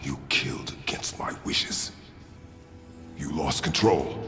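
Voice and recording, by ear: Over faint music in the background, a man puts on a character voice with an extremely low pitch, a bright, sharp tone, ordinary pitch variation and a slow pace.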